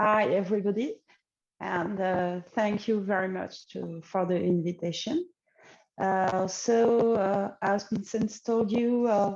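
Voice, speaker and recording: A woman speaks with a French accent at a medium pitch. Her pace is fairly slow and her intonation fairly even. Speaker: AI researcher. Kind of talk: conference talk. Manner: halting, many fillers.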